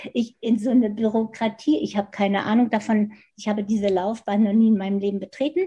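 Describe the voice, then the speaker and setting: A woman talks at a very fast pace with fairly even intonation. Her tone is dark and mellow and somewhat breathy. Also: fairly high pitch for a woman. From Germany, Hannover. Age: 70s. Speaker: design professor. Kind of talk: interview.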